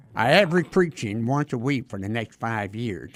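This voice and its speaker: Fairly low-pitched with vocal fry, a man in a Southern US accent talks at a moderate pace, his pitch swinging very widely. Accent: Southern American. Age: 70s. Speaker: retired Baptist minister. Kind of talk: interview testimony. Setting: studio.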